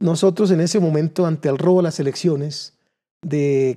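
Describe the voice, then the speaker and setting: A man with a fairly high pitch speaks at a moderate pace, his tone dark and mellow. Pitch varies in an ordinary way against a quiet background. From Colombia, Cundinamarca (Suesca); Cundinamarca, Colombia. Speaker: political candidate; candidate. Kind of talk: political interview; interview answer. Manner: halting, with repeated words. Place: studio. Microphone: lapel.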